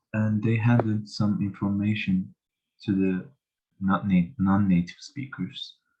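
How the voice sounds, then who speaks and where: Music can be heard behind the voice. Delivery is fairly slow, and the intonation stays fairly even. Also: man, fairly low pitch for a man. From Turkey. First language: Turkish. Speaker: language student. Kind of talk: class presentation. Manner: halting, many fillers and restarts.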